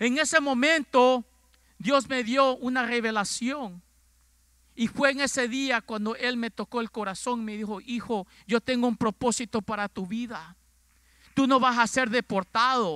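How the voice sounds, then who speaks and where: A man speaks in an extremely high pitch with a bright, sharp tone and a raised, projected voice. His pace is fairly slow with ordinary pitch variation, and the sound is dry with no echo over a quiet background. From Ecuador. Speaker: pastor. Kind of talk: sermon. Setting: church. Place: church. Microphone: handheld.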